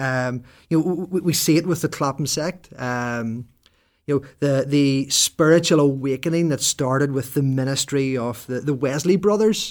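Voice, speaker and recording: Speaking with a Northern Irish accent, a man uses fairly high pitch, ordinary pitch variation and a moderate pace on a very clean recording with a silent background. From Northern Ireland, rural. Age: 40s. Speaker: Presbyterian minister and podcast co-host. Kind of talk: casual chat.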